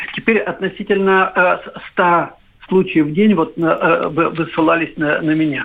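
The man's pitch is high, and his intonation fairly even. He speaks at a fairly slow pace. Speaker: virologist, professor. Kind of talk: expert interview. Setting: phone call.

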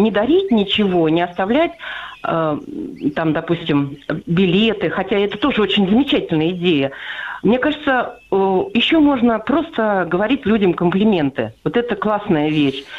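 At a fairly slow pace, a woman speaks with fairly high pitch, very wide pitch swings and very even loudness. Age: 60s. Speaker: radio listener caller. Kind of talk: phone-in story. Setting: phone call.

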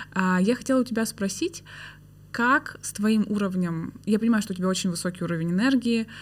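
On a very clean recording with a silent background, a woman speaks at a moderate pace and medium pitch, somewhat breathy, with ordinary pitch variation. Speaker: podcast host. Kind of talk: casual interview conversation.

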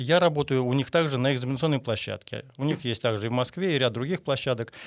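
On a very clean recording with a silent background, a man talks at a very fast pace with a medium pitch and ordinary pitch variation. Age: 60s. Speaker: construction qualification examiner. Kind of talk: interview. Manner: halting.

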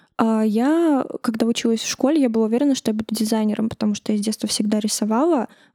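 A soft-spoken woman talks at a very fast pace with hardly any pauses, her pitch fairly high. Her pitch varies in an ordinary way, and the sound is dry and close with no echo. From Uzbekistan, Tashkent. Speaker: press service head. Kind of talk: interview.

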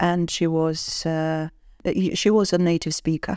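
In a British accent, a woman speaks with a fairly low pitch. The sound is dry and close, with no echo. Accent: British-sounding English. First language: not English. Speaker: university professor. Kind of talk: interview. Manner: hesitant with fillers.

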